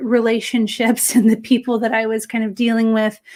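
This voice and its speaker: This woman speaks with an American accent. Her voice sits fairly high. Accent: American accent, still noticeable. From California. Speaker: editor and journalist, author. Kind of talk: interview.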